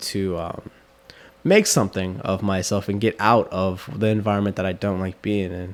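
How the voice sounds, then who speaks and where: The speaker is a man with a fairly low pitch. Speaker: barber and podcast host. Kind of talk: casual chat.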